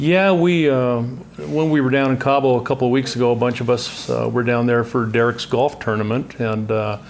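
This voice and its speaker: Over noticeable background noise, a man with a medium pitch speaks at a moderate pace with ordinary pitch variation. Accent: American. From Southern California. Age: 70s. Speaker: podcast guest, retired businessman. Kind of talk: casual chat. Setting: home lounge.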